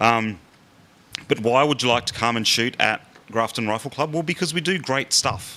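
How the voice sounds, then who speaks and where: This man has an Australian accent and a bright, sharp tone. His fairly low voice moves with lively intonation. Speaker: rifle club official. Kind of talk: public talk. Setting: public meeting with audience. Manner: fast.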